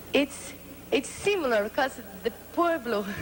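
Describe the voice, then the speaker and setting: A woman with a non-native accent speaks at a moderate pace in a high voice with lively intonation, over noticeable background noise. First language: Portuguese. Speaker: pageant contestant. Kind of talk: interview.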